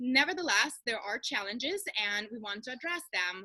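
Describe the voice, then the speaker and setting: A woman's high-pitched voice with a Russian accent, lively intonation and a bright, sharp tone. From far east of Russia. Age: young. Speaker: coach and speaker. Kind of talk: webinar presentation. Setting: video call.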